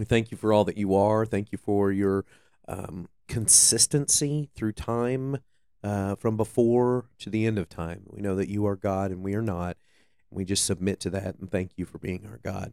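On a very clean recording with a silent background, a man speaks in a fairly low pitch with a dark, mellow tone. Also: ordinary pitch variation, moderate pace, dry, close sound with no echo. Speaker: co-host, worship leader. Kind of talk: casual chat about faith and scripture.

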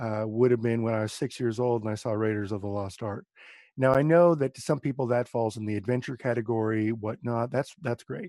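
A man talks fairly quickly in a dark, mellow tone, recorded dry and close with no echo against a quiet background. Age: 40s. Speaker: guest co-host, action film fan. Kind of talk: casual chat.

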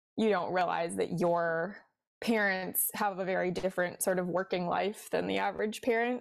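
Spoken at a moderate pace in a Midwestern accent with ordinary pitch variation, the clip is a very clean recording with a silent background. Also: woman. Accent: general Midwestern American. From US Midwest, Cincinnati, Ohio. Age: 20s. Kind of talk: casual interview chat.

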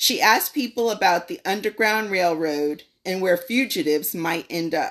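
Speaking with a plain, everyday voice, a woman talks at a fairly slow pace with lively intonation in a medium pitch, recorded very cleanly over a silent background. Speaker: guest speaker. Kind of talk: prepared talk or lesson.

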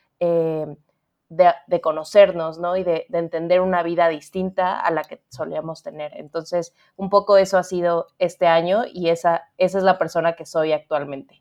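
Moderate pace, monotone, flat intonation, and big swings in loudness. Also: woman, fairly low pitch for a woman. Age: 30s. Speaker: book editor. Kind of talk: interview conversation.

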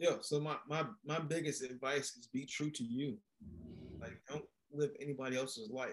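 In an unremarkable speaking voice with an American accent, a man talks at a moderate pace and fairly high pitch, his intonation fairly even but his loudness swinging widely. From Maryland, US. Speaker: entrepreneur and former athlete. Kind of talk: casual interview chat.

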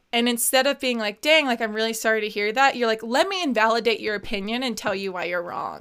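Very fast and with hardly any pauses, a woman talks. Her pitch is fairly high and her tone bright and sharp. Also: ordinary pitch variation. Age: 20s. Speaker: podcast co-host. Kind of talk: casual chat. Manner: animated.

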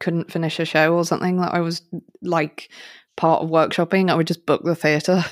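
On a very clean recording with a silent background, a woman with an English accent speaks at a fairly low pitch. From England. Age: 30s. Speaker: podcast co-host. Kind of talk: casual interview chat. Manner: animated.

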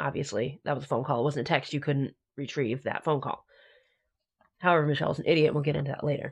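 A woman with a very deep, low, somewhat breathy voice at a very fast pace, fairly even in intonation, against a quiet background. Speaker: podcast host. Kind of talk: casual chat about true crime. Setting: pre-recorded, home-style podcast audio.

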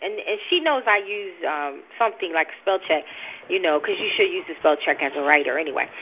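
With a New Jersey accent, a woman of medium pitch talks at a fairly quick pace and makes very wide pitch swings, with noticeable background noise behind her. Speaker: religious teacher. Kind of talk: informal preaching. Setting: recorded teaching session. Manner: fast talker.

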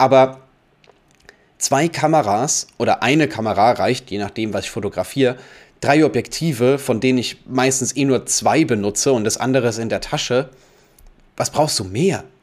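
The speaker keeps a moderate pace broken by long, frequent pauses. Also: man, medium pitch for a man, ordinary pitch variation. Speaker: photographer and podcast host. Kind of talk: casual solo monologue. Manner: unscripted, uncut talk with fillers.

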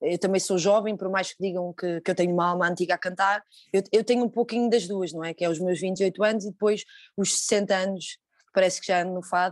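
A woman speaks in a flat monotone. The sound is dry and close, with no echo. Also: medium pitch for a woman, fairly quick pace, quiet background. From Portugal. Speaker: fado singer. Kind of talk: interview. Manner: halting.

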